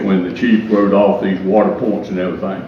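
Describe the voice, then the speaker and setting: Noticeable background noise and audible room echo surround this recording. A man with a Southern US accent speaks in a fairly low pitch. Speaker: retired firefighter, public commenter. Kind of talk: public comment at council meeting. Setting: council meeting with audience. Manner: halting.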